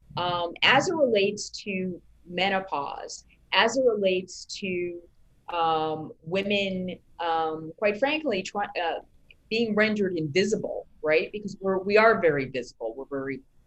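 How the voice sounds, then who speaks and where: A woman's medium-pitched, fairly slow delivery, with an American accent, lively intonation and big swings in loudness, in an ordinary speaking voice. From New York. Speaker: media company founder and editor. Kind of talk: interview.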